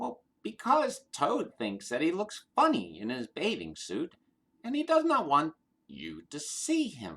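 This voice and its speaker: Adopting a put-on character voice, the man talks fairly slowly. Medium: read story.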